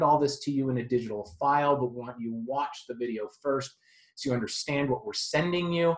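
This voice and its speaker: A man's fairly high voice, somewhat breathy, moves quickly enough with normal rises and falls in pitch. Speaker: real estate agent. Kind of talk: sales pitch. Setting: screen-share video.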